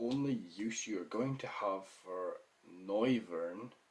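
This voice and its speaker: A man with a Scottish accent at a very slow pace. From Scotland. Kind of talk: casual gaming commentary.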